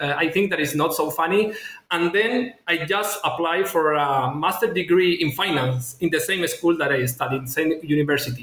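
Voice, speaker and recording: With a Spanish accent, a man talks at a moderate pace and a high pitch with ordinary pitch variation, over noticeable background noise. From Chile. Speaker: former finance executive, MBA student. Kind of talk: interview. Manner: halting.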